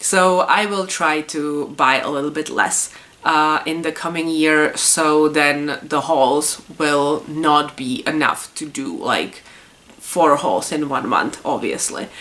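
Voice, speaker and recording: A woman with a Czech accent, a very deep, low pitch, fairly even intonation and a very slow pace. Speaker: puzzle YouTuber. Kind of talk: casual vlog monologue. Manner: hesitant, many fillers.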